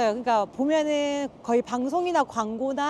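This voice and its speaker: A woman with a high pitch and lively intonation speaks at a fairly slow pace, her voice dry and close with no echo. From Korea, Busan. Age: 30s. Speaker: announcer and MC. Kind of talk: interview.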